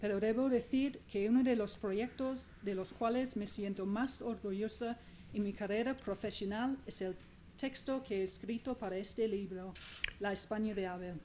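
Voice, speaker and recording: With a non-native accent, a woman speaks fairly slowly at a fairly high pitch, her intonation fairly even. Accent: foreign accent in Spanish. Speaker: magazine journalist. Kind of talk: book presentation speech.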